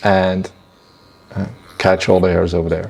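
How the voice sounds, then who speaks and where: A man with a non-native accent talks over noticeable background noise. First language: not English. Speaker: barber. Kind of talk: tutorial.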